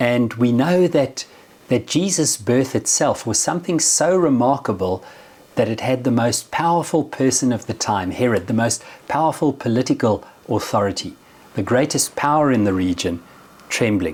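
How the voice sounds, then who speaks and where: At a moderate pace, a man with a South African accent talks at a medium pitch with lively intonation. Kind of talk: religious reflection.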